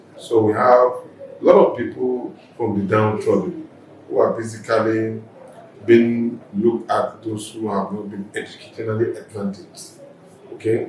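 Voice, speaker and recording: With audible room echo and noticeable background noise, a man talks at a moderate pace, leaving long, frequent pauses. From Nigeria, Lagos (Mushin). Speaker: politician. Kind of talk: interview.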